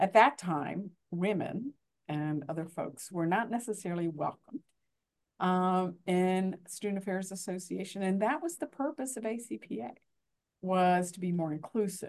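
A woman speaks at a fairly slow pace in a medium pitch. Her intonation is lively. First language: Spanish. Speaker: university administrator and journal editor. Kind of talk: panel discussion. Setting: remote recording.

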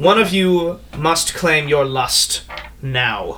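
Over light background noise, a man puts on a character voice, high-pitched and very slow. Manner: genteel, menacing.

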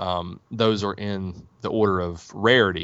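Here a man has an unremarkable speaking voice with fairly even intonation. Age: 40s. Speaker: board game publisher. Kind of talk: interview.

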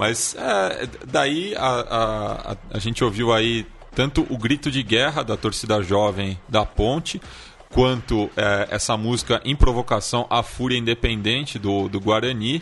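A man's normal speaking voice at a medium pitch, fairly slow in pace, with ordinary pitch variation. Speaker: podcast co-host. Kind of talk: casual chat.

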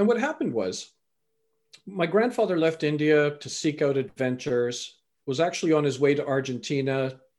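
A man with a normal speaking voice, fairly high pitch, lively intonation, a Canadian accent and a moderate pace, against a quiet background. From Canada. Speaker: life coach and motivational speaker. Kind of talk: interview conversation.

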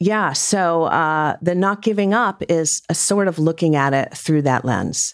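A woman's fairly low voice with an American accent, at a fairly slow pace. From US Northeast, Rhode Island. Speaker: fiction author. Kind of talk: casual interview chat.

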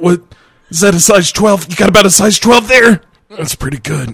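This man uses a put-on character voice. It sits at a high pitch. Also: moderate pace.

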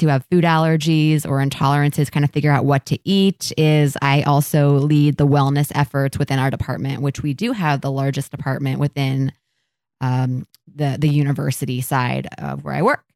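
A woman with a very deep, low pitch and a Midwestern US accent at a moderate pace, in a very clean recording with a silent background and a dry, close sound without echo. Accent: US Midwest. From Ohio (Columbus). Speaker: podcast host, dietitian. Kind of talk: casual chat.

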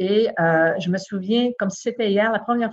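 A woman speaks in a medium pitch with a somewhat breathy quality. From Quebec, Saguenay-Lac-Saint-Jean (Chicoutimi). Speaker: lawyer, bar president candidate. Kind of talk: interview. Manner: halting, many repetitions.

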